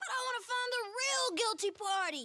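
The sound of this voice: This cartoonish character voice is extremely high in pitch and runs at a moderate pace.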